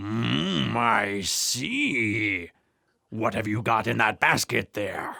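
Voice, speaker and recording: Growling in a put-on character voice, the speaker delivers low-pitched lines at a very slow pace. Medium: read story. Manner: sly, chuckling.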